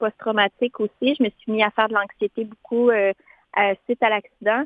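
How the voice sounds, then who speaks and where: This woman's intonation stays monotone and flat. She talks at a moderate pace, her pitch fairly high. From Quebec, Montmagny region. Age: 20s. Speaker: education student and amputee. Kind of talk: interview.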